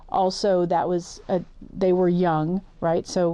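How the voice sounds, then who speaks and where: Against a quiet background, a woman speaks at a medium pitch with a dark, mellow tone. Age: 50s. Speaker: journalist. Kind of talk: interview.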